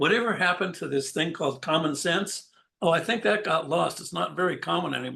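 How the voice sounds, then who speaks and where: With an American accent, a man talks fairly quickly in a fairly high, bright, sharp voice with ordinary pitch variation. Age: 70s. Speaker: insurance broker. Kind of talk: interview. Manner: casual, conversational.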